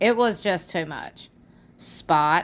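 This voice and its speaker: The recording is very clean, with a silent background. The speaker has a Southern US accent. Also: woman. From US South. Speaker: YouTube commentator. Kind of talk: casual commentary reading fan comments. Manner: animated.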